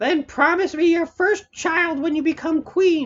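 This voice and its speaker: A put-on character voice rises to an extremely high, squeaky pitch. It moves along at a moderate pace. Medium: read story. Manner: sly, bargaining.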